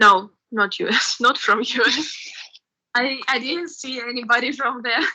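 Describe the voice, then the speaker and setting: A woman with a Russian accent speaks at a fairly slow pace, high in pitch with a bright, sharp tone and ordinary pitch variation. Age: 20s. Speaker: university student. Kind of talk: interview. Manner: halting.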